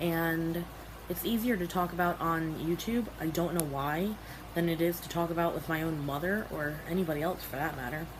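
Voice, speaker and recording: Over noticeable background noise and audible room echo, a woman speaks at a fairly low pitch with fairly even intonation. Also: moderate pace. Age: young. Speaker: vlogger. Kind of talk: personal vlog. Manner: halting.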